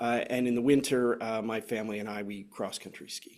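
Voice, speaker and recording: Talking at a fairly quick pace, a man with a Canadian accent and an unremarkable speaking voice shows ordinary pitch variation. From Canada. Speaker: software consultant, former navy officer. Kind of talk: webinar presentation.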